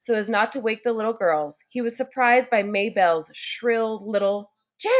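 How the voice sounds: Quiet background behind a natural reading voice, pitch varying in an ordinary way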